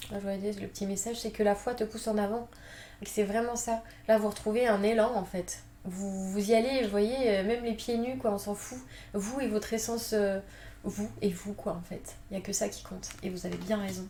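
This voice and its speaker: The woman's pitch is medium. She speaks with monotone, flat intonation. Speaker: tarot card reader. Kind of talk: tarot reading. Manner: fast; hesitant, many fillers.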